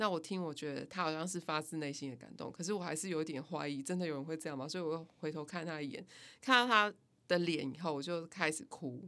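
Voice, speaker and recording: Here a woman speaks with a bright, sharp tone. Her pace is fairly quick. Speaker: music company founder and band musician. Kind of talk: casual interview.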